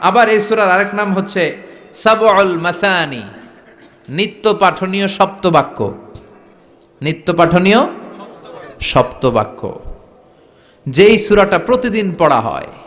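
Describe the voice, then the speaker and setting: This man's voice sits high in pitch and rises and falls in an ordinary way. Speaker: Islamic preacher. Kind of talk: Islamic sermon (waz) to a live crowd. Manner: rhetorical, call-and-response with audience.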